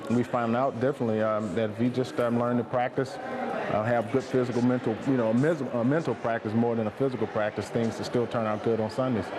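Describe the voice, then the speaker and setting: Against noticeable background noise, a man talks at a fairly quick pace with fairly even intonation and very even loudness. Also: hardly any pauses. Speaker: football coach or league official. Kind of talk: interview answer. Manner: conversational, with hesitations.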